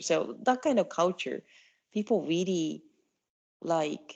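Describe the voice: A soft-spoken woman with a slightly mellow tone, lively intonation and a slow pace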